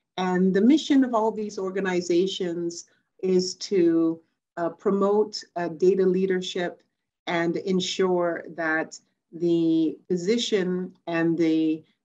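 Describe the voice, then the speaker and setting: The speaker is a woman who talks very slowly. Her pitch moves an ordinary amount. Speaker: remote conference speaker. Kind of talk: conference talk. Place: home room. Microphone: webcam.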